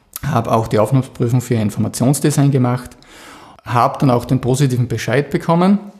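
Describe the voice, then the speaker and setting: A somewhat breathy man at a medium pitch, with ordinary pitch variation and a fairly quick pace. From Austria, Styria (Mürztal). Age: 40s. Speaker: graphic designer, business owner. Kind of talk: interview.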